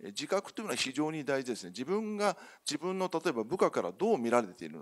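Against a quiet background, a man with vocal fry talks at a very fast pace with very wide pitch swings. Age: 50s. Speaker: company CEO; speaker. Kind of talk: conference keynote presentation. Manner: formal. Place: hall.

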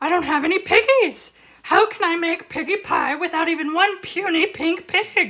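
A woman's put-on character voice, shrill and extremely high in pitch. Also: moderate pace. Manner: screeching, frustrated.

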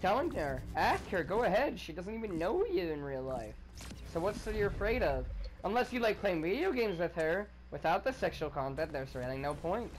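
The speaker talks at a fairly quick pace. Music plays in the background. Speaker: gaming streamer. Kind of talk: casual gaming chat. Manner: excitable. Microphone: headset.

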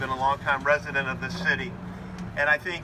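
A man's fairly high voice at a fairly quick pace, with noticeable background noise. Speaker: county politician. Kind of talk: public speech. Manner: loud. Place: street.

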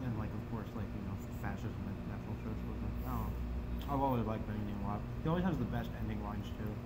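Loud background noise sits under a man's voice. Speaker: food reviewer. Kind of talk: casual vlog chat. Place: home room. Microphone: camera far.

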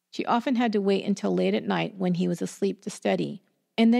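An unforced reading voice over a quiet background

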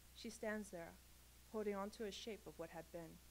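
A woman at a moderate pace, with light background noise. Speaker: graduate creative writing student; graduate student reader. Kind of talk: reading aloud. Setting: stage with audience. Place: hall. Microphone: podium.

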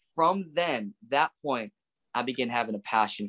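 A man talks at a moderate pace, his pitch varying in an ordinary way, against a quiet background. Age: 20s. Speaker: preacher; guest. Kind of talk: casual chat. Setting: video call. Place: home room. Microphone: video call.

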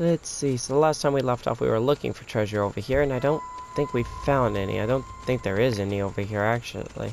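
Amid noticeable background noise, a man speaks at a very fast pace and medium pitch with ordinary pitch variation. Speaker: gaming YouTuber. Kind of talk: casual gameplay commentary. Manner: casual, chatty.

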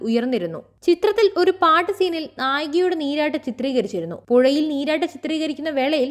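A woman is speaking. Her intonation is lively. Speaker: news presenter. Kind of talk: scripted news narration.

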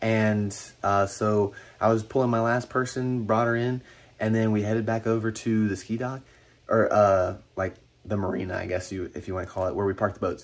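A man with an unremarkable speaking voice talks at a fairly quick pace in a fairly low pitch, keeping his intonation fairly even. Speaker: camp staff vlogger. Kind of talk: casual vlog chat. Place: home room. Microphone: phone near.

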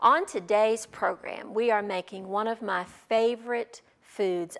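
Against a quiet background, the voice shows ordinary pitch variation. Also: woman. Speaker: cooking show host. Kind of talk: tutorial. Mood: warm, nostalgic storytelling. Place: studio. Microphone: lapel.

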